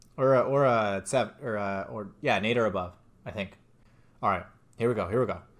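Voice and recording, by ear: Natural-voiced reading aloud with ordinary pitch variation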